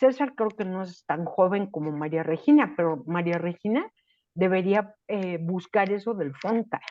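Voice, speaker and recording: A woman's plain, everyday voice, medium in pitch, at a fairly slow pace with lively intonation. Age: 60s. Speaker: writing workshop participant. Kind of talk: casual chat.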